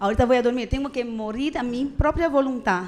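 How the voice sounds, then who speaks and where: This woman speaks with a high pitch and ordinary pitch variation. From Brazil. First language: Portuguese (speaking Spanish). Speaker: preacher. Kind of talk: sermon. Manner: casual, conversational with frequent fillers.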